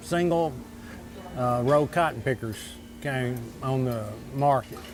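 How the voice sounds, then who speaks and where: With an Arkansas accent, a man speaks at a fairly slow pace over music in the background. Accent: southern US (Arkansas). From Arkansas, Desha County. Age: 60s. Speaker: local diner customer. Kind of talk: interview. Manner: halting.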